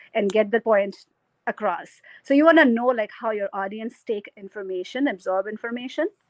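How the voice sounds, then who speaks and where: A woman speaks in a normal speaking voice at a moderate pace. Her pitch is fairly high, with ordinary variation. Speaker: keynote speaker. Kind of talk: keynote talk.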